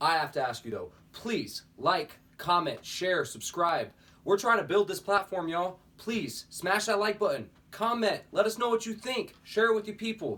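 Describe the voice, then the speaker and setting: A man speaks in a raised, projected voice. His pitch is high, with ordinary variation. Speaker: sports podcast host. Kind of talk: casual sports talk show. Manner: fast.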